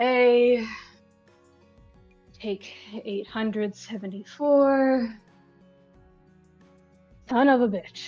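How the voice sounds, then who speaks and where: A woman puts on a gruff character voice at a fairly high pitch, with ordinary pitch variation. She speaks very slowly, with long, frequent pauses, over music in the background. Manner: gruff, practiced-masculine.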